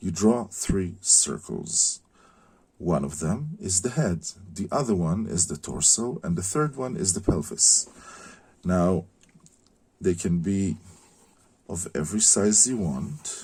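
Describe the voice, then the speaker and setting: Speaking at a very slow pace with long, frequent pauses, a man with a non-native accent uses a very deep, low pitch, a somewhat breathy, dark, mellow tone, and lively intonation. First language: not English. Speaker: concept artist teaching drawing. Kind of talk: tutorial. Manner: hesitant, many fillers.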